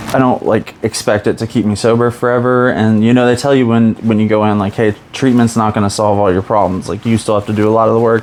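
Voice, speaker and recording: A man speaks at a very fast pace with very even loudness, in a medium pitch and a flat, monotone delivery. Noticeable background noise runs underneath. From US Midwest. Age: 30s. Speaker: podcast guest in addiction recovery. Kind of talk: casual interview chat. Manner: halting, many fillers.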